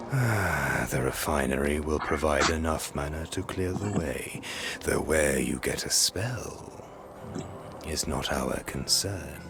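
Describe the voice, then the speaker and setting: Over loud music in the background, a man performs a put-on character voice at a fairly slow pace. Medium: game stream. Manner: cryptic, theatrical, laughing.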